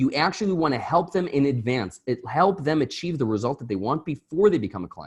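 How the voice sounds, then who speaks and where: A somewhat breathy man with lively intonation and a fairly quick pace, over a quiet background. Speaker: marketing coach. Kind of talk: live webinar. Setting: live online stream with chat.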